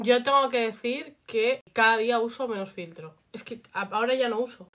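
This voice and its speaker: A woman talks at a fairly slow pace in a fairly high pitch, with an unremarkable speaking voice and ordinary pitch variation. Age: 20s. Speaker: podcast co-host. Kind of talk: casual chat.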